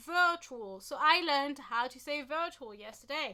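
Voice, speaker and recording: Projecting her voice, a woman with a French accent talks at a high pitch and fairly slow pace, her pitch swinging very widely. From France. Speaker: YouTuber on true crime history. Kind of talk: casual vlog talk. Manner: animated.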